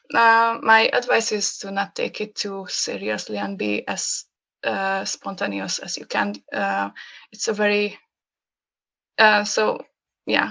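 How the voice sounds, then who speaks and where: Against a quiet background, a woman with a Hungarian accent speaks at a very slow pace with long, frequent pauses and big swings in loudness. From Hungary. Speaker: graphic designer. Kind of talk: casual chat. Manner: halting.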